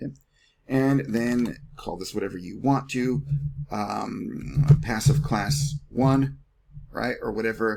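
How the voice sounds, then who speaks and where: Big swings in loudness mark this man's medium-pitched voice, which has ordinary pitch variation. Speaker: online marketing instructor. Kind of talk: screen-share tutorial. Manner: fast; casual.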